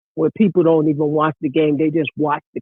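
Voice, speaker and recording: Here a man speaks at a fairly high pitch. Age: 60s. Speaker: caller, former basketball coach. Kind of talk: casual chat. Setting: phone call.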